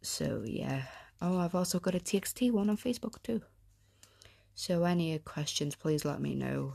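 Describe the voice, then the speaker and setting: The recording is very clean, with a silent background. A woman with a North Welsh accent speaks at a fairly slow pace in a dark, mellow tone. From North Wales. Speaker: podcast host. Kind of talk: casual solo talk. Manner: halting, many fillers.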